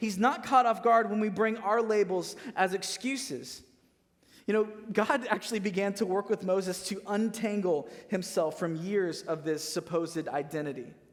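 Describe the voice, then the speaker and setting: An American-accented man with a high pitch, lively intonation and a moderate pace. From Missouri, US Midwest. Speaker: pastor. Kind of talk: sermon. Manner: casual, conversational.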